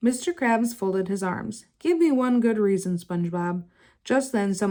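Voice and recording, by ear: Natural-voiced reading aloud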